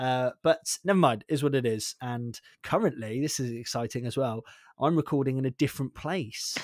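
A man with a Devon accent at medium pitch and a moderate pace, ordinary pitch variation, dry, close sound with no echo, and a very clean recording with a silent background. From Devon, England. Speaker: podcast host. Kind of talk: casual chat. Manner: chatty, laughing.

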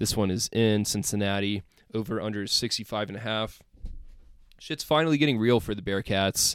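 A man speaks with a fairly low pitch and ordinary pitch variation. He has an ordinary speaking voice. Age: 20s. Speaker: sports podcast host. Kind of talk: casual solo commentary.

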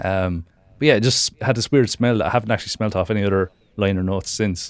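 With an Irish accent, a man speaks very fast at a fairly low pitch with fairly even intonation, in a very clean recording with a silent background. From Ireland. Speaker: music commentator. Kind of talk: casual chat. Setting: podcast recording.

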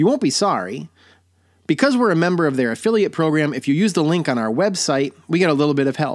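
Fairly quick, fairly high-pitched American-accented speech from a man, an ordinary speaking voice with lively intonation, on a very clean recording with a silent background. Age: 40s. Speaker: podcast host. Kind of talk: personal storytelling monologue; sponsor plug and sign-off.

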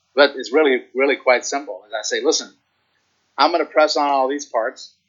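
A man talks at a fairly quick pace. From Virginia. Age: 50s. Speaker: chiropractor. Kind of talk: casual interview. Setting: home gym.

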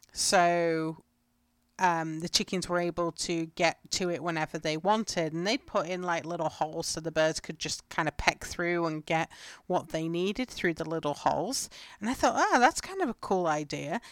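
Against a very clean, silent background, a woman with an English accent speaks at a fairly low pitch with ordinary pitch variation in a dry, close sound with no echo. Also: moderate pace. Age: 30s. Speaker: homesteading podcast host. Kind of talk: solo podcast monologue. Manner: casual.

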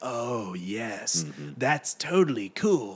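A man performs a put-on character voice that is gravelly and medium in pitch. His pitch swings very widely. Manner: casual, agreeable.

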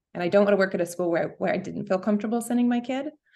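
A woman speaks with an American accent and vocal fry. Her pitch variation is ordinary. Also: quiet background. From New York. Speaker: school principal. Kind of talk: casual interview.

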